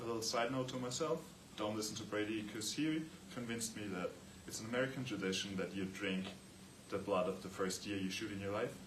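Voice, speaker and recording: Speaking very fast with an Austrian accent, a man has a fairly low pitch and ordinary pitch variation. Audible room echo and noticeable background noise surround him. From Austria, Vienna. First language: German. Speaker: student athlete. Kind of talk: class presentation.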